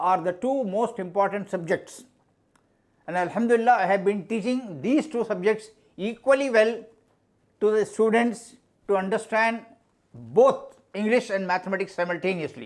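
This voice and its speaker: With a Pakistani accent, a man talks at a moderate pace in a high pitch, his pitch varying in an ordinary way. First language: Urdu. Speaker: mathematics teacher. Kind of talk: interview. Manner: halting.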